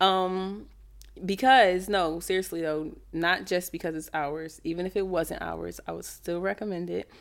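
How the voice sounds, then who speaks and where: A normal speaking voice from a woman, fairly low in pitch, with fairly even intonation, a fairly slow pace, and a very clean recording over a silent background. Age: 20s. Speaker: podcast co-host. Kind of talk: casual chat.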